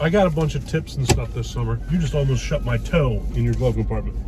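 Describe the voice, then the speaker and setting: A man speaks at a very fast pace. The recording has audible room echo and noticeable background noise. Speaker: YouTube food vlogger. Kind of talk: casual chat. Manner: loud.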